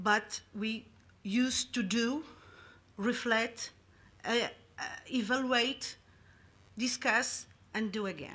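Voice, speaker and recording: A woman speaks very slowly in a strong Madeiran accent, with long, frequent pauses. Her pitch is fairly high, her tone bright and sharp, and her intonation fairly even. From Madeira, Portugal. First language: Portuguese. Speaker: public health official. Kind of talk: conference presentation. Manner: halting, many fillers.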